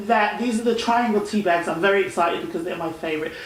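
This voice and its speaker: A woman with lively intonation speaks at a medium pitch. Audible room echo and noticeable background noise sit around her voice. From England. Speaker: talk show host. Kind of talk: casual chat.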